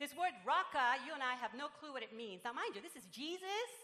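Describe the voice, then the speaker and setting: A woman's high, raised, projected voice with very wide pitch swings. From Puerto Rico. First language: Spanish. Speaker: pastor. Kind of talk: sermon. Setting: church.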